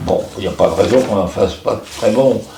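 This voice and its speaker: A man speaks over noticeable background noise. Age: 80s+. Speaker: screenwriter and film director. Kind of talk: interview answer.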